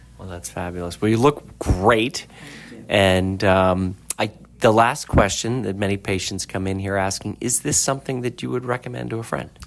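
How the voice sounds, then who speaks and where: Against noticeable background noise, a fairly low-pitched man speaks at a moderate pace with big swings in loudness. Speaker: plastic surgeon, interviewer. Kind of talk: podcast interview host.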